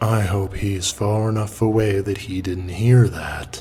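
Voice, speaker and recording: Using a put-on character voice, a man speaks with a rumbling, fairly low pitch. His pace is fairly slow, and background noise is clear. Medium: read story. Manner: playful, amused.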